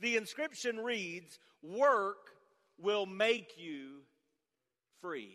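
A man's raised, projected voice is high-pitched, with a bright, sharp tone and lively intonation. He goes at a very slow pace, with long, frequent pauses. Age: 50s. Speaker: pastor. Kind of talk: sermon.

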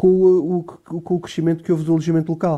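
Over a quiet background, a man speaks at a very fast pace. His tone is dark and mellow. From Portugal, Alentejo. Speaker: political journalist. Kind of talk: radio political debate.

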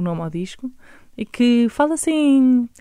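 A woman with a fairly high pitch and a dark, mellow tone makes very wide pitch swings in a dry, close sound with no echo. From Lisbon area, Portugal. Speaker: singer-songwriter. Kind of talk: interview.

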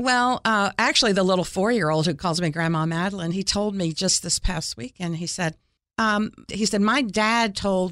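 A woman with an American accent and a plain, everyday voice speaks at a moderate pace in a medium pitch with ordinary pitch variation, in a very clean recording with a silent background. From Florida and Ohio (US). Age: 60s. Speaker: city mayor. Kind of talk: interview. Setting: studio.

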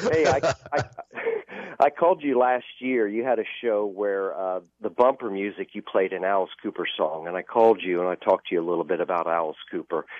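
The intonation is lively and the pace fairly quick, in a normal speaking voice. The sound is dry and close, with no echo. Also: man, fairly low pitch for a man. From Florida (Clearwater). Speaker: caller. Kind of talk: casual chat. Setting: phone call.

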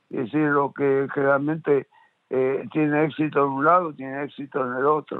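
Monotone, flat intonation from a man with a fairly high pitch. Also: moderate pace. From Argentina. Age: 70s. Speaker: media producer and businessman. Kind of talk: interview. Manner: halting, many fillers.

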